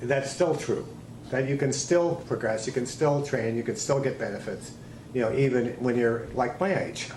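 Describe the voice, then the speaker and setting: A man's medium-pitched voice at a moderate pace, ordinary pitch variation, audible room echo and noticeable background noise. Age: 60s. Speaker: martial arts instructor. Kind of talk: interview.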